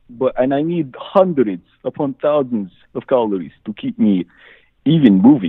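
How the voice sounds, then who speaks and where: Swinging very widely in pitch around a medium register, a man with a Czech accent speaks at a moderate pace. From Czechoslovakia. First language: Czech or Slovak. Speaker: caller. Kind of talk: call-in question. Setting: phone call. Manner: halting.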